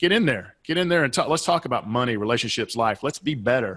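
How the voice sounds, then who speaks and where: In a very clean recording with a silent background, a man with a Southeastern US accent speaks at a very fast pace. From US Southeast. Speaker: business and life coach, author. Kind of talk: podcast interview.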